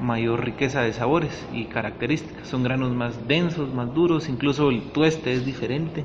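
A man's medium-pitched voice comes through audible room echo and noticeable background noise. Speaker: coffee cupping lab coordinator. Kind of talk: interview. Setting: cupping laboratory.

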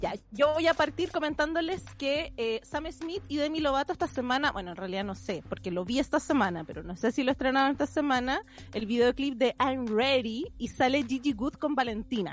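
A woman with a high voice and lively intonation speaks almost without pausing. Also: moderate pace. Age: 30s. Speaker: podcast co-host. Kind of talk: casual chat.

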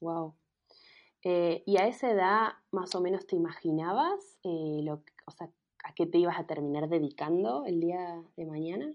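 Speaking at a fairly slow pace in an Argentine accent, a woman uses a fairly low pitch with ordinary pitch variation and big swings in loudness. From Argentina, Mendoza. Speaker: podcast host. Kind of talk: interview.

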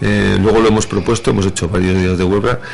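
A man with a fairly low pitch speaks with fairly even intonation, with noticeable background noise and audible room echo. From Madrid, Spain. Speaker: village mayor. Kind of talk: radio interview. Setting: radio studio. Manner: hesitant with fillers.

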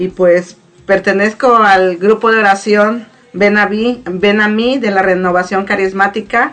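Music plays in the background as the speaker goes at a fairly slow pace with fairly even intonation. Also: woman. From Mexico, Morelos. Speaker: church prayer group member. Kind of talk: testimony.

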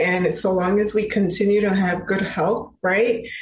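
A woman speaks with an American accent at a fairly slow pace. There is audible room echo. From Chicago, US. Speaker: finance and real estate professional. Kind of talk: interview.

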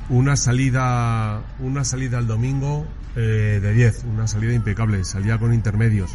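Someone with a Spanish accent is heard over noticeable background noise, with audible room echo. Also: man, moderate pace. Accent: Peninsular Spanish. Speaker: motorsport podcast co-host. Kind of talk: casual sports analysis. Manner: animated.

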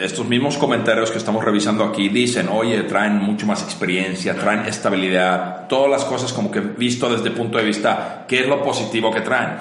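Noticeable background noise sits behind a man at medium pitch. He talks at a fairly quick pace with hardly any pauses and fairly even intonation. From Finland. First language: Finnish (speaking Spanish). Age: 40s. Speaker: entrepreneur. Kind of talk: casual interview chat.

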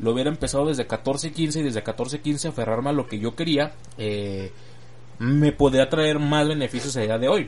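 This is a man with an ordinary speaking voice. He keeps a moderate pace and ordinary pitch variation. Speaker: podcaster and aspiring voice-over artist. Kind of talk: casual solo monologue.

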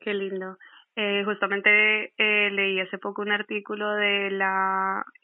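In a medium pitch, a woman speaks at a very slow pace with monotone, flat intonation. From Colombia. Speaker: podcast host. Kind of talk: casual interview.

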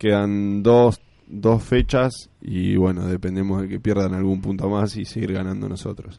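Speaking at a moderate pace, a man with a dark, mellow tone and a fairly low pitch delivers his words in a flat monotone. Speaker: football fan radio co-host. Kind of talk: casual chat.

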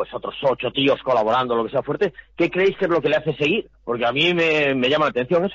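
Lively intonation marks a man's plain, everyday voice as he speaks at a fairly quick pace. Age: 50s. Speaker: football club commentator. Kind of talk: casual chat.

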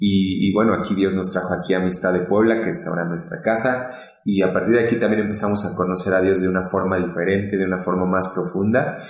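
With noticeable background noise and audible room echo, a man with a very deep, low pitch speaks at a very fast pace with hardly any pauses and fairly even intonation. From Mexico, State of Mexico. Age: 30s. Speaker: pastor. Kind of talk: testimony.

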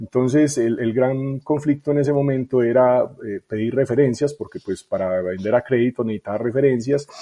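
At a moderate pace, a man with a medium-pitched, dark, mellow voice uses ordinary pitch variation, recorded dry and close with no echo. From Colombia, Medellín (Itagüí). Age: 40s. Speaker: tech startup founder and CEO. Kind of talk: interview conversation.

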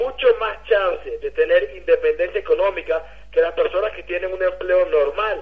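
A man speaks at a moderate pace. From Venezuela. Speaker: network marketing leader. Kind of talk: motivational testimony.

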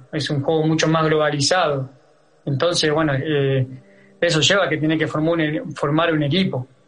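A man speaks at a moderate pace in a fairly high voice with fairly even intonation, over noticeable background noise. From Argentina, Santa Fe province. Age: 30s. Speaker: footballer. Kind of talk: interview. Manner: halting, many fillers.

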